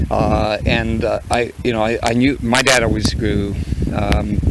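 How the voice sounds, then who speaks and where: A man talks in a Manitoban accent. Noticeable background noise sits behind him. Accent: Canadian (Manitoba). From Canadian Prairies (southeastern Manitoba). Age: 60s. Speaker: farmer. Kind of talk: interview. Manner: halting, many fillers.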